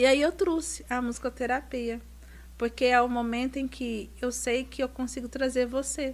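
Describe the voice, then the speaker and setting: A woman's calm voice at a moderate pace, in a very clean recording with a silent background. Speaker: reflexologist. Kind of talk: casual chat.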